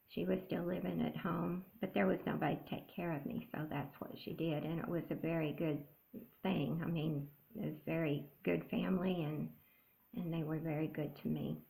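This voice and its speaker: With an American accent, a woman talks at a moderate pace in a very deep, low voice with a dark, mellow tone, lively intonation and vocal fry. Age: 70s. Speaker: cross-stitch vlogger. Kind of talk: casual chat. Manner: halting.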